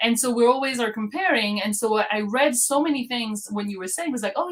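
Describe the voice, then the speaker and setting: At a fairly quick pace, a woman talks in a somewhat breathy voice, fairly high in pitch, with ordinary pitch variation. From France. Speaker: podcast host. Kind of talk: interview.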